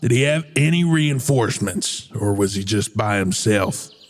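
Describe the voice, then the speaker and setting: Putting on a character voice, a man speaks at a medium pitch. His pace is moderate and his intonation lively. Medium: actual play. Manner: gruff, commanding.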